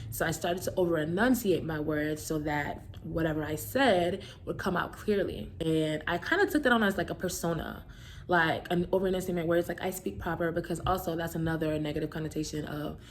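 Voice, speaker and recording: Speaking at a fairly quick pace in a Brooklyn accent, the voice carries vocal fry. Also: woman, fairly low pitch for a woman, ordinary pitch variation. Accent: Brooklyn New York. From New York, Brooklyn. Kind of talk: casual talk to camera. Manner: fast; over-enunciating at times.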